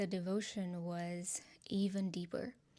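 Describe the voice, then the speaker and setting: In a very clean recording with a silent background, a woman speaks at a medium pitch with a dark, mellow tone and fairly even intonation. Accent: Nepali. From Nepal, Kathmandu. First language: Nepali. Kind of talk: testimony. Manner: casual, conversational.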